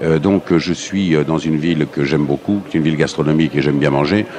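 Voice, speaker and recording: A man talks at a fairly quick pace with a very deep, low pitch and ordinary pitch variation. The sound is dry with no echo, over light background noise. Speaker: interviewee. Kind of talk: interview answer. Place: hall.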